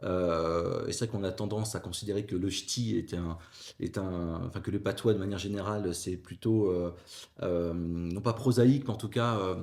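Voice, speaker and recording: Here a man speaks at a moderate pace. His pitch is fairly low. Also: ordinary pitch variation. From northern France (Avesnois, near Fourmies). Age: 40s. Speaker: former teacher, civil service HR executive. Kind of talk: podcast interview. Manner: hesitant, many fillers.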